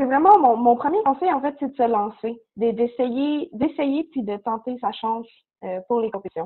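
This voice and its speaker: A woman speaks in a high pitch. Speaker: university student. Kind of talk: interview.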